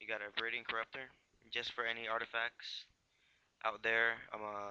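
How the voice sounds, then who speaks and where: Mumbling at a moderate pace, a man speaks in a flat monotone at a medium pitch with a bright, sharp tone. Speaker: YouTuber doing card game deck techs. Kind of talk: casual deck tech video. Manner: halting, many fillers.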